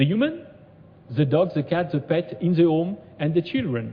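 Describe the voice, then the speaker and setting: This man's voice sits high in pitch. He speaks with a French accent. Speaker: conference speaker, robotics researcher. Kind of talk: conference presentation. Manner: halting, many fillers.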